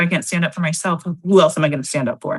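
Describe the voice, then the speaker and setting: A woman speaks quietly in a fairly low voice. Her tone is somewhat breathy. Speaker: political candidate. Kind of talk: interview. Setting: video call. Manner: quiet voice.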